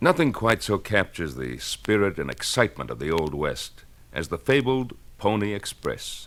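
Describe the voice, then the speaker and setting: At a moderate pace, a man with a fairly low pitch and vocal fry speaks with very wide pitch swings. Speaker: actor and singer. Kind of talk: radio promo spot.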